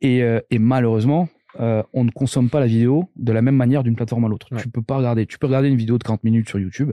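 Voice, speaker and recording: A man's very fast speech in a dark, mellow tone, with fairly even intonation and a dry, close sound with no echo over a quiet background. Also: medium pitch for a man. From Corsica, Corse-du-Sud. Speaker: tech entrepreneur. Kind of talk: casual interview.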